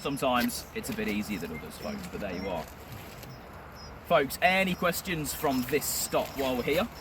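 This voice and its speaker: A man speaks at a medium pitch with very wide pitch swings and big swings in loudness. Noticeable background noise runs underneath. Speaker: tour guide. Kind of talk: guided tour talk. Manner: fast.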